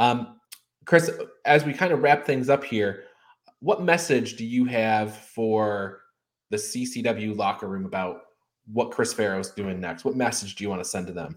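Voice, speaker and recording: At a moderate pace, a man with a normal speaking voice and medium pitch talks with lively intonation. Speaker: podcast host. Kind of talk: interview.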